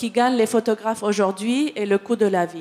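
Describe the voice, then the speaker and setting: A woman talks with a non-native accent. Her pitch is medium, and her intonation is fairly even. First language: not French (speaking French). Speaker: picture editor. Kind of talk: panel discussion. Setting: conference with audience. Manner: halting, many hesitations and repetitions.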